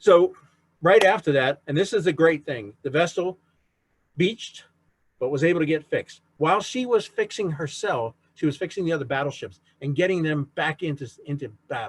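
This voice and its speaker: A man with an unremarkable speaking voice, fairly high in pitch, talks at a moderate pace with lively intonation. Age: 60s. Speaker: author and navy veteran giving a history talk. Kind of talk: lecture. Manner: conversational.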